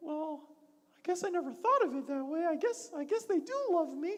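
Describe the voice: This is a put-on character voice pitched extremely high. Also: moderate pace.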